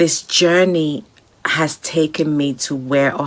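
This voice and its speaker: Speaking fairly slowly, a woman uses a very deep, low pitch with ordinary variation. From Nigeria. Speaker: entrepreneur and pharmaceutical scientist. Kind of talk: recorded motivational message.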